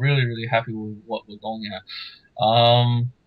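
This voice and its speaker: A man's medium-pitched voice with an Australian accent. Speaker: podcast co-host. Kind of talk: casual chat.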